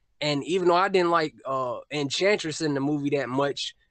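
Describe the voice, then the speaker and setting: This man has an unremarkable speaking voice at a fairly high pitch. He talks at a moderate pace with ordinary pitch variation. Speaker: YouTube film commentator. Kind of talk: casual podcast discussion.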